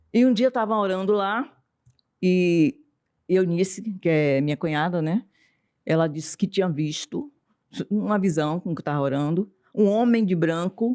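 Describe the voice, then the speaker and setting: A woman's medium-pitched voice with lively intonation at a fairly slow pace, in a dry, close sound with no echo and a very clean recording with a silent background. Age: 60s. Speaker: writer and psychoanalyst. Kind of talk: testimony.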